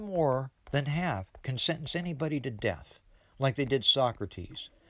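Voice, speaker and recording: In a very clean recording with a silent background, a man with a fairly high pitch sounds somewhat breathy at a moderate pace. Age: 70s. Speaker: podcast host. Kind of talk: monologue.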